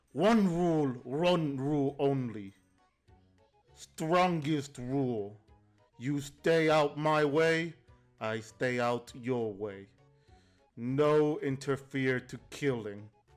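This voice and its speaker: Over faint music in the background, a man does a gruff, growling put-on character voice at a fairly high pitch and a very slow pace. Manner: blunt, broken speech.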